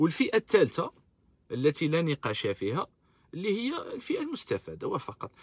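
Over a quiet background, a man's voice swings very widely in pitch, with a dry sound and no echo. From Algeria. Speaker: political activist live-streamer. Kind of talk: live-stream political commentary. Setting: live stream on social media. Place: car. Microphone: phone near.

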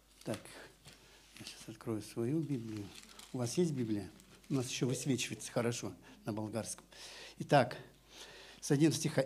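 Over light background noise, a man speaks at a moderate pace in a somewhat breathy voice, using ordinary pitch variation and long, frequent pauses. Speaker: pastor. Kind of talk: sermon with interpreter. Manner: halting, phrase by phrase for translation. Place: church. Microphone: handheld.

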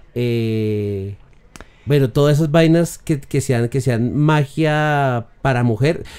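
Over a quiet background, a man with a dark, mellow tone and fairly high pitch speaks at a very slow pace with ordinary pitch variation. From Colombia. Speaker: voice narrator and digital producer; voice narrator. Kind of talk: casual chat. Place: home room. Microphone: studio mic.

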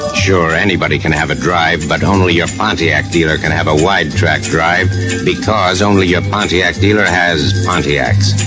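Moderate pace over clear music in the background. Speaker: radio commercial announcer. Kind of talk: radio commercial read. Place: studio. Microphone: old recording.

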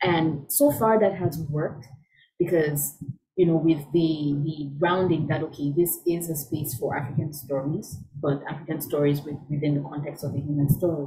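Speaking at a moderate pace, a woman has a very deep, low pitch and a dark, mellow, somewhat breathy tone with fairly even intonation. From Cameroon. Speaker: scholar and storyteller. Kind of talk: conversational interview answer.

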